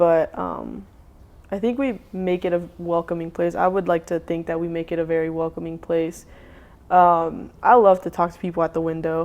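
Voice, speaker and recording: In a very clean recording with a silent background, a woman uses a normal speaking voice at a moderate pace, with fairly low pitch and fairly even intonation. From US South, Charlotte, North Carolina. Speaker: food truck owner. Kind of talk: casual interview chat.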